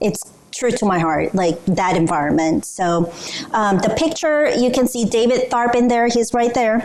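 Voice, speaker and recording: A fairly high-pitched woman speaks at a moderate pace with lively intonation. Her loudness stays very even over noticeable background noise. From South Korea. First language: Korean. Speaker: business culture trainer. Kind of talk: training presentation.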